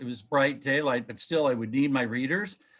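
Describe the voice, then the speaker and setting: A man's normal speaking voice, fairly high in pitch, with ordinary pitch variation, in a very clean recording over a silent background. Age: 60s. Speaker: author and researcher. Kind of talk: interview.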